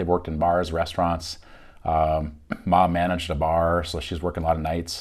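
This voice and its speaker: On a very clean recording with a silent background, a man talks at a fairly quick pace. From Minnesota, Fargo-Moorhead area, partly Michigan. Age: 40s. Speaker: realtor and YouTuber. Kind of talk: casual self-introduction monologue. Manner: casual, frequent fillers.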